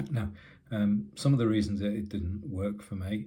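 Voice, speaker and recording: A man's somewhat breathy voice with a dark, mellow tone and audible room echo. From UK. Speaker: tech YouTuber. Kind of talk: casual tech review. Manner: halting, many fillers.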